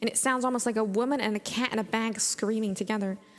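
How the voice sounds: The voice is a natural reading voice. Its intonation is fairly even.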